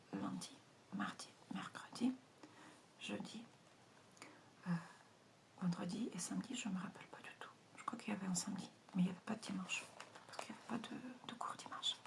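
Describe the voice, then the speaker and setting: This woman is soft-spoken and talks at a fairly quick pace. She leaves long, frequent pauses. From Russia. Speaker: ASMR creator. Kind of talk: ASMR page-turning talk.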